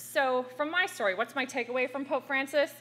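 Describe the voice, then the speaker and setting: A woman speaks loudly in an American accent. Her pitch is high. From US, small town. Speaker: activist. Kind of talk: panel talk.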